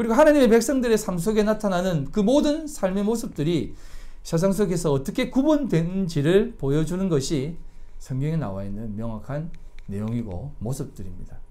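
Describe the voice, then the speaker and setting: Audible room echo surrounds a man with a high, dark, mellow voice. He moves at a moderate pace with very wide pitch swings. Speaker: pastor. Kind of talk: sermon. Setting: church.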